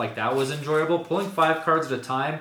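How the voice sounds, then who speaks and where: A man talks at a fairly quick pace, his voice carrying audible room echo and noticeable background noise. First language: not English. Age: 30s. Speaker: content creator opening trading card packs. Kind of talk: casual unboxing commentary. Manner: casual, rambling with fillers.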